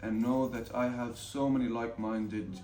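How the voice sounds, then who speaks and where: Monotone, flat intonation at a moderate pace, with music in the background. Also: man. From Ramallah, Palestine. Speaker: film student, director and cinematographer. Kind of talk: interview answer.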